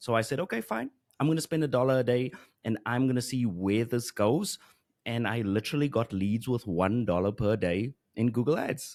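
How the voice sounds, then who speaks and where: A man speaks with a South African accent. His loudness stays very even. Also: ordinary pitch variation, moderate pace, quiet background. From South Africa, Johannesburg. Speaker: Google Ads expert and course creator; podcast guest, marketing teacher. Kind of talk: interview. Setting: video call. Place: studio. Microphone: studio mic.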